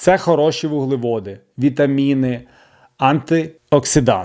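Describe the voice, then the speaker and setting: A man with a fairly high voice talks at a very slow pace. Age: 40s. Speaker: wellness vlogger. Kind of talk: personal vlog monologue.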